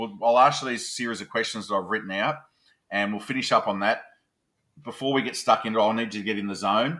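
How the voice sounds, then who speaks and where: A man's medium-pitched voice with a strong Australian accent, bright and sharp in tone, very fast with fairly even intonation, on a very clean recording with a silent background. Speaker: podcast host. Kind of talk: interview.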